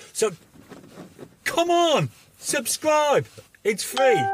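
A man at a very slow pace, dry with no echo, faint music in the background. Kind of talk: casual vlog chat. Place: car. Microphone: phone near.

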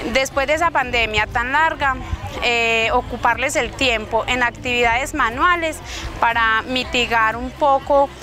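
A woman speaks at a fairly slow pace with a high pitch and fairly even intonation. Faint music plays in the background of a dry recording with no echo. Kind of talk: interview answer. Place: street.

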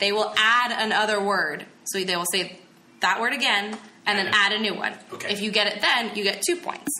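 A woman with an American accent talks at a fairly quick pace in a medium pitch. Noticeable background noise and audible room echo are present. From New Jersey, Burlington County. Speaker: podcast co-host and game master. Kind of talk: explaining game rules.

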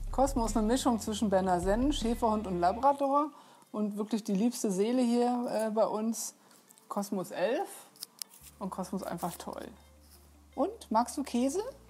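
Long, frequent pauses break up a woman's moderate-paced speech, her fairly high voice showing ordinary pitch variation. Faint music plays in the background. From Unna, North Rhine-Westphalia, Germany; North Rhine-Westphalia, Germany. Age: 50s. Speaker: visual artist. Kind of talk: casual studio tour talk to camera. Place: shop.

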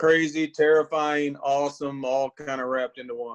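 Speaking at a moderate pace, a man uses an unremarkable speaking voice with a fairly high pitch and fairly even intonation. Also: quiet background. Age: 40s. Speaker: bird hunter, game show contestant. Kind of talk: casual chat. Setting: video call from home. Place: home room. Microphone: video call.

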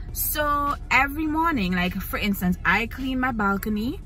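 A woman speaks at a fairly slow pace over faint background music, the sound dry with no echo. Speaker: vlogger. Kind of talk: casual vlog chat. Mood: annoyed storytelling. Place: car. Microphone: phone near.

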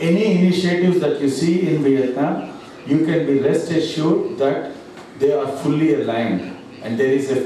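Strong room echo and light background noise surround a man speaking at a moderate pace with ordinary pitch variation. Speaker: presenter. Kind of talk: business presentation. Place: hall.

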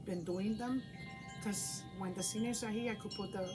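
Against noticeable background noise, this woman's pitch shifts in an ordinary way. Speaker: craft instructor for seniors. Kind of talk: casual tutorial chat. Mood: warm, chatty. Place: home room. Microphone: camera far.

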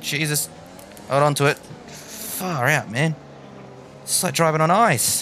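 With an Australian accent, a man speaks at a fairly slow pace over music in the background, leaving long, frequent pauses. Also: fairly high pitch for a man, ordinary pitch variation. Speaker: gaming YouTuber. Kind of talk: live gameplay commentary. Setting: home gaming setup. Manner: animated.

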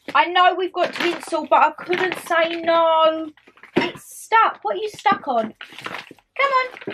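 A woman speaks at an extremely high pitch and a very slow pace. Her intonation is lively over noticeable background noise. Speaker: vlogger. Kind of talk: casual vlog chat, haul. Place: home room. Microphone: camera far.

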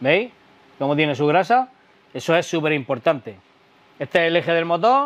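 A man is speaking. His pace is moderate. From Spain. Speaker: YouTuber doing e-bike tutorials. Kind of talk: tutorial. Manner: animated. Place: workshop. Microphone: lapel.

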